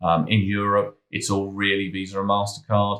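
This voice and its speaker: Talking at a fairly quick pace, a man with a British accent has a very deep, low voice. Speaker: cybersecurity consultant. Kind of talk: tutorial. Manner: casual; halting, with fillers.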